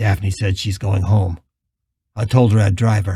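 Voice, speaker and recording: A raspy, put-on character voice from a man, fairly low in pitch, monotone and flat in intonation, at a moderate pace. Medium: read story. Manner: calm, steady.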